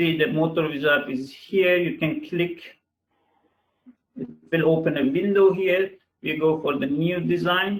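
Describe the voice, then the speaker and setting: This man's delivery is fairly slow. Long pauses break it up frequently. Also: ordinary pitch variation. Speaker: engineer presenting software webinar. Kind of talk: webinar software demo. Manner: halting, many fillers.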